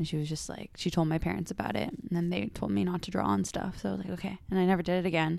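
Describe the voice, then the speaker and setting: A woman talks at a very fast pace with hardly any pauses, her fairly low voice carrying vocal fry. Her pitch swings very widely. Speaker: podcast host, therapy-related. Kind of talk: casual chat.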